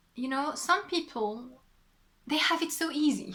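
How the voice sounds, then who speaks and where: The voice comes in a French accent, bright and sharp in tone, with lively intonation at a fairly slow pace. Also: woman. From southwest France. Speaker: knitting podcaster and designer. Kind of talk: casual podcast monologue. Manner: hesitant, many fillers.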